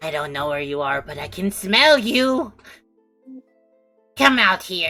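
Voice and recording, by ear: A put-on character voice sits at a middle pitch and swings very widely, moving at a fairly slow pace with long, frequent pauses. Faint music plays in the background.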